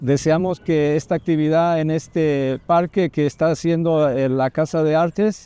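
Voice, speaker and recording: A dark, mellow tone with a Mexican accent at a moderate pace, fairly even in intonation, very even in loudness, with hardly any pauses. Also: man, fairly high pitch for a man, dry, close sound with no echo. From Mexico City. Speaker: pastor. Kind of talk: interview in Spanish with interpreter. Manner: halting, with hesitations.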